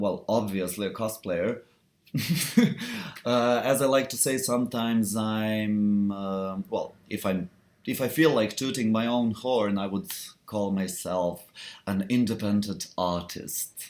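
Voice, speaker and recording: A man with a non-native accent, at a fairly slow pace. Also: fairly low pitch for a man, ordinary pitch variation. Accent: foreign. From Serbia. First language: not English. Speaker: cosplayer. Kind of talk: live stream chat. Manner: halting.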